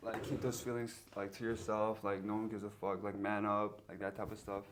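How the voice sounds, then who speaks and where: A man with an American accent at a fairly quick pace, fairly low in pitch and flat and monotone in intonation, against noticeable background noise. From USA. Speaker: podcast host. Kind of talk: casual chat. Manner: informal, filler-heavy.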